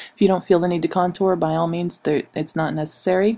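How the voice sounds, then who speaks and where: With music in the background, a woman speaks at a medium pitch in a monotone, flat intonation. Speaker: makeup tutorial creator. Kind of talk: voice-over for makeup tutorial. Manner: hesitant, with stammering and fillers.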